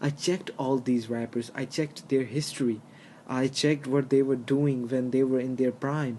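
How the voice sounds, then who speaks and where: Speaking with a non-native accent, the man keeps his pitch in a medium range. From outside the US, another country. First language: not English. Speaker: hip-hop commentary YouTuber. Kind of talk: opinion monologue. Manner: halting, many fillers.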